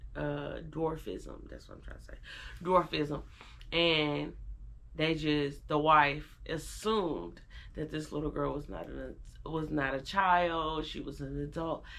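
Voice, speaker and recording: A woman speaks at a very slow pace, her loudness swinging widely, with audible room echo around her. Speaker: fashion vlogger. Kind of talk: casual vlog talk.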